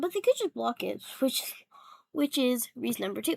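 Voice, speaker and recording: Close and dry with no echo, a woman's quiet voice comes through. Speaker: tech YouTuber. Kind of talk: casual tech commentary. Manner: quiet, hushed; hesitant, many fillers.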